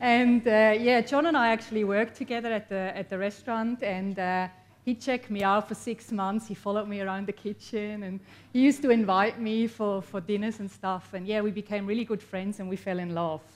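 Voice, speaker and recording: In a Swiss accent, a woman speaks at a fairly quick pace with a medium pitch and fairly even intonation. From Switzerland. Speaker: copywriter and entrepreneur. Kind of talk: motivational talk to an audience. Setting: stage with audience.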